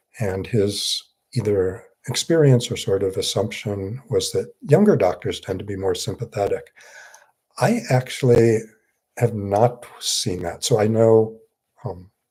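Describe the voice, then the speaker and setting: The voice is somewhat breathy and dark and mellow in tone, with ordinary pitch variation at a fairly slow pace. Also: man, medium pitch for a man. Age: 60s. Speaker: psychiatrist. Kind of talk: live Q&A. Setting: livestream. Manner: halting.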